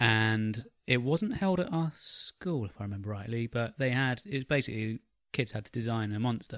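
A man with an English accent at medium pitch, ordinary pitch variation, big swings in loudness and a moderate pace, in a quiet background. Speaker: podcast co-host. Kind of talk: casual chat.

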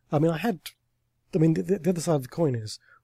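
This man's voice has a dark, mellow tone and is somewhat breathy. His intonation is lively. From Somerset, England (Taunton). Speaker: TV and audio drama writer. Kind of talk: casual interview. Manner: hesitant, many fillers.

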